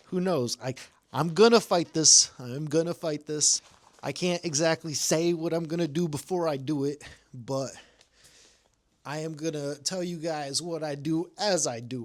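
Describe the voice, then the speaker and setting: A plain, everyday voice from a man, fairly high in pitch, at a moderate pace, with ordinary pitch variation and big swings in loudness. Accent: American. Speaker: citizen vlogger. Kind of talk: vlog reading own email.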